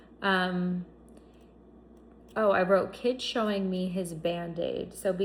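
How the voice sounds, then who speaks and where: A woman of medium pitch speaks very slowly with fairly even intonation, and audible room echo surrounds her. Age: 30s. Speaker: psychic reader. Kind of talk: tarot reading monologue.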